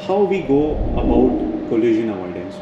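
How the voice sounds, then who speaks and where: Speech at a fairly quick pace is heard over noticeable background noise. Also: man. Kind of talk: tour explanation vlog. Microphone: phone near.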